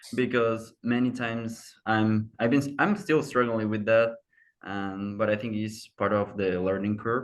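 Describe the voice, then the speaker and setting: A man with a Spanish accent speaks fairly slowly at a medium pitch. His intonation stays fairly even over a quiet background. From Mexico. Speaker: university student. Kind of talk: casual chat.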